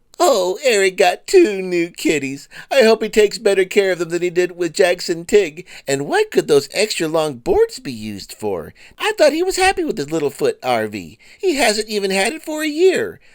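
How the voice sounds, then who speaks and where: A put-on character voice at a moderate pace, in a very clean recording with a silent background. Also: man, high pitch for a man. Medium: comedy sketch. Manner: sugary, mock-concerned, arch.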